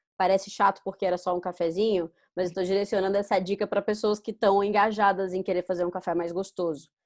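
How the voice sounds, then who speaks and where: A woman at medium pitch talks very fast in a monotone, flat delivery with hardly any pauses over a quiet background. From Brazil, Manaus (Amazonas). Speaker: barista. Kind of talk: interview. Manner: stammers at times.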